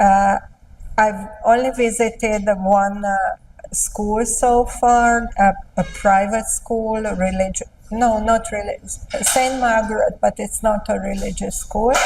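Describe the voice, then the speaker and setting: A woman with a Hungarian accent, fairly high-pitched and very slow, with fairly even intonation amid noticeable background noise. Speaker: literature professor. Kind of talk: interview. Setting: visiting Peru. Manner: halting.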